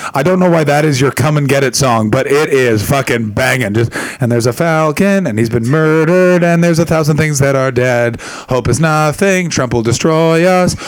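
A man's fairly high voice at a moderate pace, with ordinary pitch variation, hardly any pauses, very even loudness and audible room echo. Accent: Canadian. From Canada. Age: 30s. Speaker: comedian. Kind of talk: stand-up. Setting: stage with audience. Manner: animated.

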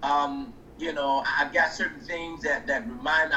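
Noticeable background noise sits behind a man speaking at a moderate pace. His high voice makes very wide pitch swings. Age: 50s. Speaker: pastor and author. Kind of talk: interview.

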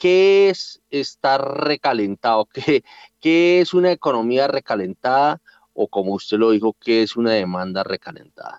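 A man's medium-pitched voice at a fairly slow pace, with very wide pitch swings and a dry, close sound with no echo. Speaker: radio host and director. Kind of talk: radio interview.

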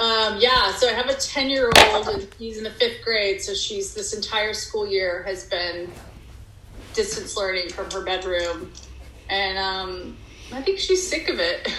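A woman with an American accent at a fairly slow pace, with noticeable background noise and audible room echo. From Texas. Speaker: actress and TV writer. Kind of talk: casual interview.

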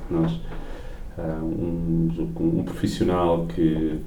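Pitch variation is ordinary. There is audible room echo around the voice. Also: man. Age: 40s. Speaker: business executive. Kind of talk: interview. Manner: halting.

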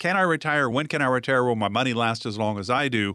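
A man's medium-pitched voice with a bright, sharp tone at a fairly quick pace, in a dry, close sound with no echo on a very clean recording with a silent background. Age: 60s. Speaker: radio show host. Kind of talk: sponsored radio talk show conversation.

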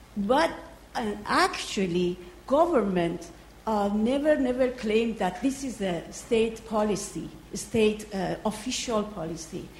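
A woman speaks at a fairly high pitch. There is audible room echo and noticeable background noise. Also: lively intonation, fairly slow pace. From Iran. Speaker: visiting researcher, audience questioner. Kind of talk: audience question. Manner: halting.

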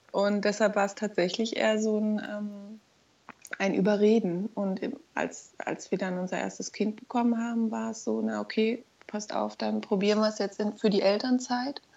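A woman with a medium-pitched voice and monotone, flat intonation talks at a moderate pace. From Berlin. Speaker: mother of two, friend of host. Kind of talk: casual interview chat.

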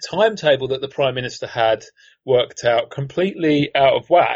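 A man with a British accent speaks at a moderate pace with ordinary pitch variation. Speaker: politics professor. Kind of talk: casual expert analysis. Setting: remote call. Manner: dry, wry humor.

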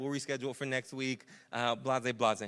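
A man talks at a very fast pace in a bright, sharp tone, recorded very cleanly against a silent background. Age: 30s. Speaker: pastor. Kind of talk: sermon. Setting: church. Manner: casual, conversational.

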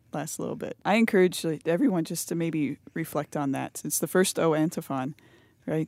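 A woman with a fairly low pitch speaks at a fairly quick pace. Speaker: podcast host. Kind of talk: casual chat with prayer and liturgy.

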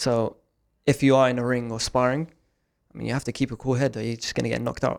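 A man with a South London accent, medium pitch and monotone, flat intonation, racing at a very fast pace between long, frequent pauses. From South East London. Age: 20s. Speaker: forex trading student. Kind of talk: casual interview. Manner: hesitant, many fillers.

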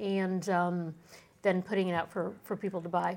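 Moderate pace from a woman, captured on a very clean recording against a silent background. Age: 40s. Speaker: shop owner. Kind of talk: interview. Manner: halting.

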